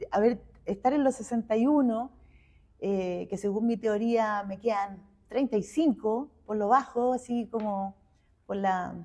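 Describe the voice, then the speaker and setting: Using a Chilean accent, a woman speaks at a fairly slow pace with a fairly high pitch and a dark, mellow tone. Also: ordinary pitch variation. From Chile, Santiago. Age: 60s. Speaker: visual artist. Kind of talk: interview conversation.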